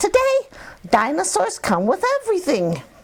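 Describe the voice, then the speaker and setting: The voice is high-pitched and put-on, a character act. Its pace is moderate. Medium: read story. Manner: cheerful, matter-of-fact.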